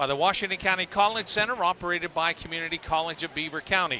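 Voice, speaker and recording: A man with an American accent talks at a fairly quick pace and a high pitch. Noticeable background noise can be heard. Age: 60s. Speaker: sports broadcaster. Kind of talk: live broadcast chat and sponsor reads. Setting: broadcast at wrestling tournament.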